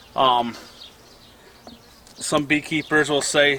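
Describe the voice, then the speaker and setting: Noticeable background noise sits behind a man's voice. He speaks at a fairly high pitch with ordinary pitch variation. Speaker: beekeeper, homesteading vlogger. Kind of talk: casual tutorial. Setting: outdoors at a beehive. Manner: loud; casual, halting with fillers.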